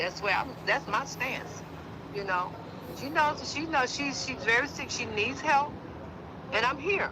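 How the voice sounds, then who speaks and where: With audible room echo and noticeable background noise, a woman speaks with lively intonation. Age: 60s. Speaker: mother of a missing woman. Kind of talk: interview. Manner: halting.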